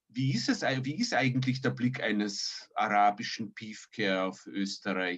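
A man with a plain, everyday voice, fairly low in pitch, at a fairly slow pace with ordinary pitch variation. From emigrated as a child, raised partly elsewhere. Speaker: podcast co-host. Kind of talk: interview. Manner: formal.

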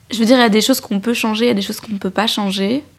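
Her voice fairly high, a woman speaks with fairly even intonation. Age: 20s. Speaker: young woman giving testimony. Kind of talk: testimony.

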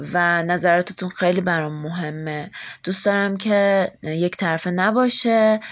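In an unremarkable speaking voice, a woman talks at medium pitch and a fairly slow pace with fairly even intonation. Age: 20s. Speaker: podcast host. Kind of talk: casual self-introduction monologue.

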